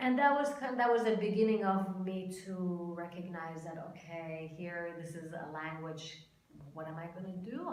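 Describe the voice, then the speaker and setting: A woman with an Iranian accent, a fairly low pitch, ordinary pitch variation and big swings in loudness, at a moderate pace over noticeable background noise. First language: Farsi. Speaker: Iranian immigrant mother. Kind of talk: interview.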